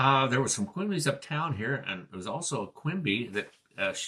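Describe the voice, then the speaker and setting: With a Pacific Northwest accent, a man talks at a moderate pace and medium pitch, his bright, sharp tone marked by very wide pitch swings. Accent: Pacific Northwest American English. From Grays Harbor County, Washington. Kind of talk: oral history interview answer. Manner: casual, hesitant.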